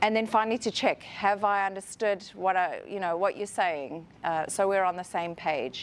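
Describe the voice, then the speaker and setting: A woman with a South African accent, at a moderate pace and with ordinary pitch variation. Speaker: HR professional, conference speaker. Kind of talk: conference talk.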